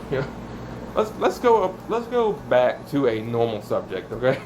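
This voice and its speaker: The speaker is a man whose pitch swings very widely. Background noise is noticeable. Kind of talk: casual vlog monologue. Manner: rambling, changes voice.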